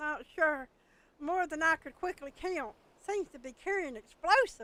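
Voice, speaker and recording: A put-on character voice, raised and projected, delivered at a moderate pace. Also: woman, extremely high pitch for a woman. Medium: game stream. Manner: urgent, clipped exclamations.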